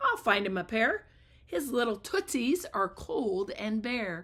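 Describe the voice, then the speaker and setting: A woman puts on a character voice, fairly high-pitched, with very wide pitch swings, talking fairly slowly. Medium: read story.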